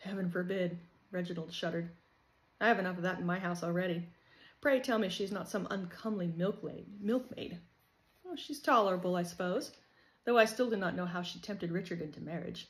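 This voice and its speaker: Somewhat breathy, a woman at a medium pitch with an American accent, fairly quick in pace, with audible room echo. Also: ordinary pitch variation. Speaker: author reading own novel. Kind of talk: reading aloud.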